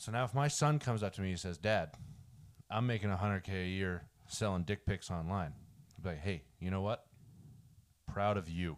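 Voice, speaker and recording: A man with a very deep, low pitch, ordinary pitch variation, a fairly quick pace and long, frequent pauses. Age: 20s. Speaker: podcast co-host. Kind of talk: casual chat.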